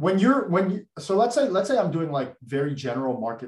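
This voice has a slightly airy quality. It belongs to a man. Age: 20s. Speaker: former investment banker and content creator. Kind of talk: casual interview chat.

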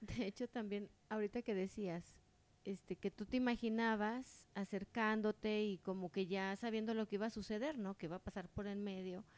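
A woman speaks at a medium pitch. She has a normal speaking voice. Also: fairly even intonation, moderate pace, dry, close sound with no echo. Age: 40s. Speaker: podcast co-host. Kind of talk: casual chat.

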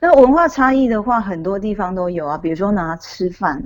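Her intonation is lively and her pitch medium. The woman has an unremarkable speaking voice and a moderate pace. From Taiwan. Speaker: author. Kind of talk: interview.

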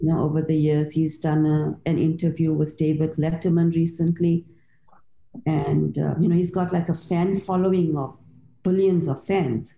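A woman speaks at a moderate pace in a fairly low pitch, somewhat breathy with a dark, mellow tone. Her intonation is monotone and flat, and her loudness very even. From South Africa. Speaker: author and literature lecturer. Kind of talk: interview.

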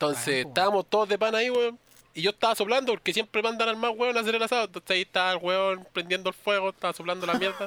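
A man with a high pitch talks at a very fast pace in a raised, projected voice with ordinary pitch variation, recorded with a dry, close sound and no echo. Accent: Chilean. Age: 20s. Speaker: podcast co-host. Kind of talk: casual chat.

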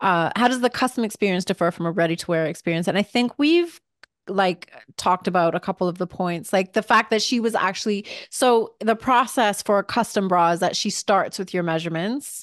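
Against a quiet background, a woman speaks fairly quickly at a medium pitch with ordinary pitch variation in a plain, everyday voice, with a dry, close sound with no echo. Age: 40s. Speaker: podcast host and lingerie designer. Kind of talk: casual chat.

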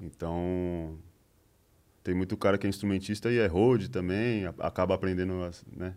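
Over a very clean, silent background, a man with a very deep, low pitch speaks at a moderate pace, pausing long and often. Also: fairly even intonation. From ABC Paulista, São Paulo, Brazil. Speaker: musician. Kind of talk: casual chat.

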